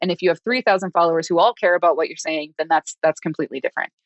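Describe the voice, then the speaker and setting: Here the speech moves at a very fast pace. An American accent comes through. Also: woman. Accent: Minnesota accent, rarely noticeable. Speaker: developer advocacy consultant. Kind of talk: podcast interview. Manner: casual, filler-heavy.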